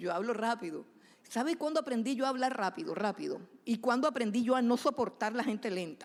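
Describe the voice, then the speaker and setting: The recording is very clean, with a silent background. A woman talks quickly, fairly high in pitch, with lively intonation. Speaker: preacher. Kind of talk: sermon. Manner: fast; animated.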